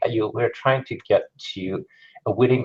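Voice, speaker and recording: A man with a non-native accent at a moderate pace. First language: not English. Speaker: conference speaker, digital marketer. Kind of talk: conference talk. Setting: stage with audience, live-streamed.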